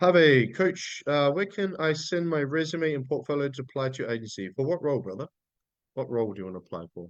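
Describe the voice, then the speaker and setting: A man with an Australian accent, very fast pace and very wide pitch swings. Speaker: business coach. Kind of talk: live webinar training. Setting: livestream. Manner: intense.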